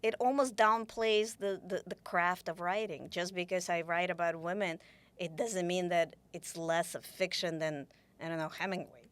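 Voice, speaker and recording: With a Russian accent, a woman speaks at a moderate pace in a fairly low pitch with ordinary pitch variation. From Ukraine. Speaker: author. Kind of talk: interview conversation. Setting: studio. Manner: halting, many restarts.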